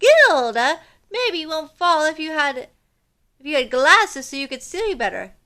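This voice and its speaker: Using a put-on character voice, a woman speaks at extremely high pitch and a moderate pace. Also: very clean recording, silent background. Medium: read story. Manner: earnest, helpful.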